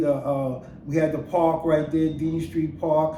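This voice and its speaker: A man's fairly slow, monotone, flat delivery with audible room echo and noticeable background noise. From Brooklyn, New York City. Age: 60s. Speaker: storyteller. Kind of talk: casual monologue.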